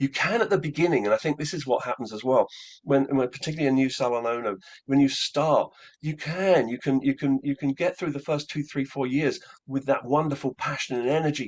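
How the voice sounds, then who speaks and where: This man has a fairly high pitch and ordinary pitch variation. He speaks at a fairly quick pace. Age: 60s. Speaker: hairdressing business consultant. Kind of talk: interview. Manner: halting, many repetitions.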